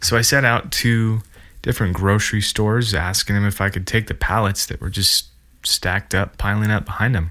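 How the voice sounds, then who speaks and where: Man with a Montana accent, fairly low pitch and bright, sharp tone, fairly quick pace, in a very clean recording with a silent background. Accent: American, Montana. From central Montana. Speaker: podcast host, woodworker and maker. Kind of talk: solo podcast monologue. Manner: casual, enthusiastic.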